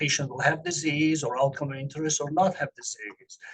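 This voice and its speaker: A man's fairly high, monotone voice with flat intonation. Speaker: medical researcher giving a talk. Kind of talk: lecture. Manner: fast; halting, many fillers.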